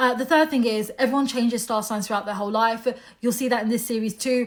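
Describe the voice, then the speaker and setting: Over noticeable background noise, a woman with a British accent speaks very fast at a fairly high pitch with fairly even intonation. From UK. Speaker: astrologer. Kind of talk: monologue to camera. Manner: casual, conversational.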